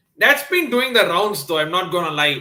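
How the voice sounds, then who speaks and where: Here a man speaks with a Tamil accent. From South India, Chennai. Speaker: sports YouTuber. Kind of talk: live stream watchalong chat. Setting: live stream, early morning. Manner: hesitant, many fillers.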